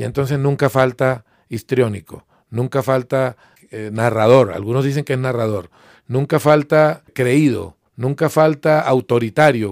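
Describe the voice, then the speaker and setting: A man with a plain, everyday voice speaks at a medium pitch and moderate pace, with ordinary pitch variation. The recording is very clean, with a silent background and a dry, close sound with no echo. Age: 50s. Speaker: journalist and writer. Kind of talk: interview.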